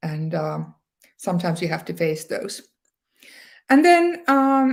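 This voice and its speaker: A woman with a Northern Scandinavian accent speaks at a fairly slow pace. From Sámi area, northern Finland. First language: Northern Sami. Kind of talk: talk to an online audience. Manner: many fillers, some hesitation.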